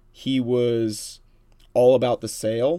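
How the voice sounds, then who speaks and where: At a very slow pace, a man with a medium pitch and a dark, mellow tone speaks in a very clean recording with a silent background. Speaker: gaming convention volunteer and streaming community member. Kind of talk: casual chat.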